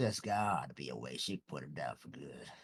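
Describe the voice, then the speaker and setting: A man puts on a raspy character voice, pitched very deep and low. He talks fairly quickly, with very wide swings in pitch. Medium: actual play.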